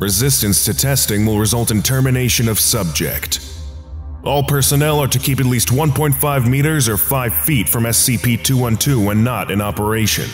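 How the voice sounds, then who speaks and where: Music plays behind a man speaking at a moderate pace. His medium pitch swings very widely. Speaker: voice over artist. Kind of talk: documentary narration of fictional files.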